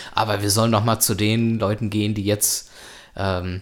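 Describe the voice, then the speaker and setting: Speaking at a moderate pace, a man uses a fairly low pitch and flat, monotone intonation. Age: 20s. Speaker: podcast host. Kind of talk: casual chat.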